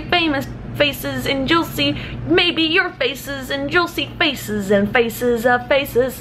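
A high-pitched woman's voice over light background noise. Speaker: vlogger. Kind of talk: casual vlog chat. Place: home room. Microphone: phone near.

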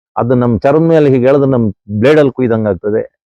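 A man's voice has a dark, mellow tone at a medium pitch. His pitch variation is ordinary. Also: dry, close sound with no echo. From Western Ghats, Karnataka. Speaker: environmental activist. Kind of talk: outdoor talk to camera. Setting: outdoors. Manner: animated.

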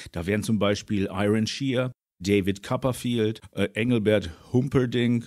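A man's ordinary speaking voice, fairly low-pitched and fairly slow, with fairly even intonation, on a very clean recording with a silent background. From southern Germany, Allgäu. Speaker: YouTuber and interviewer. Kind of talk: interview.

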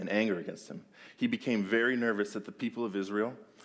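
Here the speaker uses a natural reading voice.

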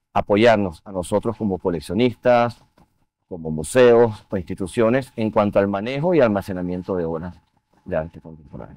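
A man with a normal speaking voice talks at a fairly low pitch with ordinary pitch variation, the sound dry with no echo. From Venezuela. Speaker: art museum board chair and finance executive; guest. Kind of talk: TV interview. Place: studio.

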